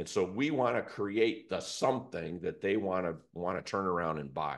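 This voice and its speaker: A man speaks in a normal speaking voice at a fairly low pitch and a moderate pace. His intonation is lively, and the background is quiet. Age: 60s. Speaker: business advisor and investor. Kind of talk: casual business discussion.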